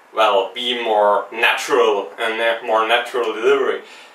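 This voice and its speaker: A man with a non-native accent talks at a fairly slow pace. There is audible room echo and noticeable background noise. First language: not English. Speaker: video game podcast host. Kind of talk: unedited solo vlog commentary. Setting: speaking to camera. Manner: halting, with ums and long pauses.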